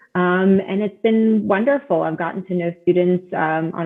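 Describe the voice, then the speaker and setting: A woman has a plain, everyday voice with an American accent. Her pitch is medium, with ordinary variation. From US South, South Florida. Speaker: admissions director. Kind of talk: podcast interview.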